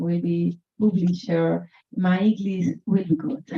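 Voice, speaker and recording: A woman speaks with a Colombian accent, her voice somewhat breathy and medium in pitch. Her intonation is lively. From Colombia, Chocó Pacific region. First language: Spanish. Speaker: author. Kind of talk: author talk at book event. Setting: bookshop event with audience. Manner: halting, non-native English.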